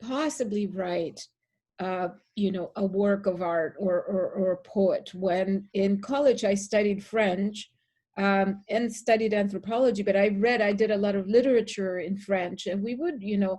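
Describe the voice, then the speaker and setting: At a fairly slow pace, a woman speaks at medium pitch with a dark, mellow tone, somewhat breathy delivery and fairly even intonation. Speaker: poet. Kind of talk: interview. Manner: halting.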